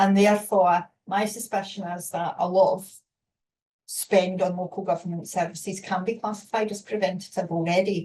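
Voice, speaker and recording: In a Scottish accent, a woman with a dark, mellow, somewhat breathy tone speaks at a moderate pace and medium pitch, her intonation fairly even but her loudness swinging widely. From Scotland. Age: 50s. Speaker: webinar moderator. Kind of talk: panel discussion.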